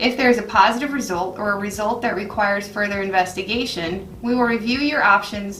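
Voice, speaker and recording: A woman with an American accent at medium pitch, fairly quick and fairly even in intonation, amid audible room echo and noticeable background noise. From Florida. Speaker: surgeon. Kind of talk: scripted narration. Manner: formal.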